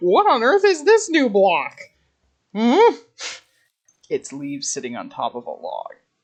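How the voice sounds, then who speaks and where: The speaker talks at a fairly slow pace, with long and frequent pauses. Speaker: gaming youtuber. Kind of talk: gameplay commentary. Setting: at home.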